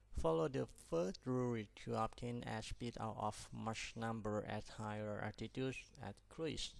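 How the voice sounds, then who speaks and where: Medium pitch from a man with a non-native accent, at a fairly slow pace and with ordinary pitch variation. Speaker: pilot instructor. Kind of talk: tutorial.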